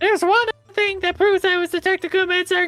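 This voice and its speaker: Over faint music in the background, a woman puts on a squeaky character voice and talks very fast at a very even loudness, the sound dry and close with no echo. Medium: game stream. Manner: deferential, ending lines with 'sir'.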